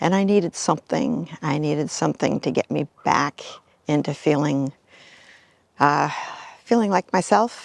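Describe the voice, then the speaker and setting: A woman with a very deep, low pitch and vocal fry speaks at a moderate pace with lively intonation and long, frequent pauses. The sound is dry and close, with no echo. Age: 70s. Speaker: member of a senior women's swim cleanup group. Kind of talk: interview testimony.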